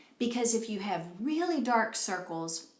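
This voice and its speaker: Over noticeable background noise and audible room echo, a woman speaks at a fairly slow pace in a fairly high voice. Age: 60s. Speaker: beauty vlogger. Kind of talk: tutorial. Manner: casual, conversational.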